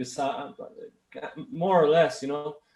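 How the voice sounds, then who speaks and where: Speaking with a Portuguese accent, a man uses a fairly high pitch and ordinary pitch variation. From Brazil, Minas Gerais (Belo Horizonte). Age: 30s. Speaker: bass player and producer. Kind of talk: interview. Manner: halting, many restarts.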